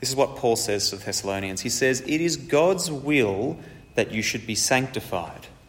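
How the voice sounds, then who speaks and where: The speech moves at a moderate pace with lively intonation, and room echo can be heard. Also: man, medium pitch for a man. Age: 30s. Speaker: preacher. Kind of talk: sermon.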